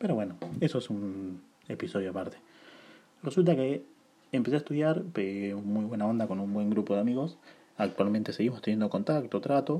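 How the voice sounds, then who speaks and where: A man's fairly low, dark, mellow voice with lively intonation at a moderate pace. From Buenos Aires, Argentina. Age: 20s. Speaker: podcaster. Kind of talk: casual monologue. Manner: informal, conversational.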